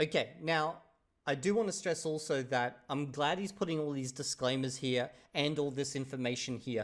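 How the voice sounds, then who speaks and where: A man with a fairly high pitch and a normal speaking voice talks at a moderate pace with ordinary pitch variation, on a very clean recording with a silent background. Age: 30s. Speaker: YouTuber reacting to videos. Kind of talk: reaction video commentary. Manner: casual.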